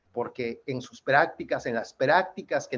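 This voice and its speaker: With a Yucatán accent, a man talks at a fairly slow pace in a fairly high pitch. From Yucatán, Mexico. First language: Yucatec Maya (speaking Spanish). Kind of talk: panel presentation.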